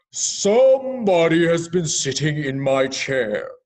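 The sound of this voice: A man's put-on character voice, high in pitch. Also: fairly slow pace.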